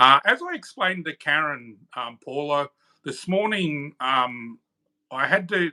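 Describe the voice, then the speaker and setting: Recorded very cleanly against a silent background, a man's bright, sharp voice sounds dry and close with no echo and carries ordinary pitch variation. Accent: Australian. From Australia (Queensland). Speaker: channel moderator. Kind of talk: casual chat. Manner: halting.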